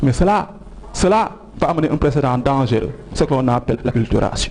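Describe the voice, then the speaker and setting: Against noticeable background noise, a man with a Senegalese accent talks at a fairly quick pace, his fairly high pitch carrying lively intonation at a very even loudness. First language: Wolof (speaking French). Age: young. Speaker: TV talk show guest. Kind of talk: educational TV interview.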